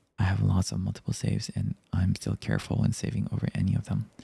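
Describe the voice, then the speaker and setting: The voice is a whisper. It moves at a fairly quick pace. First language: not English. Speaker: vtuber ASMR streamer. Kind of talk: reading aloud Reddit stories and chat comments. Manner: soft-spoken.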